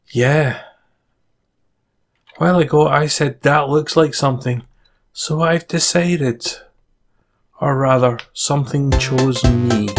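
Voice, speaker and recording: Fairly slow speech with long, frequent pauses and music in the background. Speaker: gaming video creator. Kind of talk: let's play commentary. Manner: stuttering, hesitant at start; animated.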